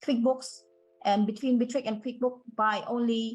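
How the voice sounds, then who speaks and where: A woman speaks at a moderate pace, her somewhat breathy voice fairly even in intonation over a quiet background. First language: not English. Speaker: webinar attendee asking a question. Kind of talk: Q&A in a webinar. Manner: halting.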